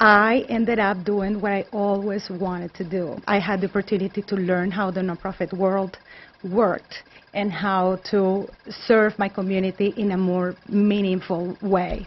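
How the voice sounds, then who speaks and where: In a Colombian accent, a woman speaks fairly slowly in a somewhat breathy, medium-pitched monotone. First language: Spanish. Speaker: nonprofit executive director. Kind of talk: interview.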